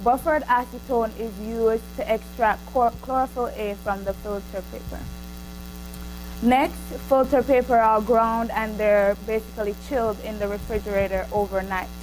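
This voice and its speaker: A woman with a Jamaican accent speaks at a moderate pace. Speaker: student researcher. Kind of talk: student presentation. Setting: seminar room with microphone. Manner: hesitant, with fillers.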